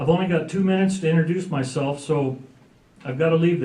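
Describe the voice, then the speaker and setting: Fairly high-pitched and fairly even in intonation, a man with an American accent is recorded with audible room echo and noticeable background noise. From Oregon, The Dalles. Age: 60s. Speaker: political candidate. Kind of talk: campaign speech.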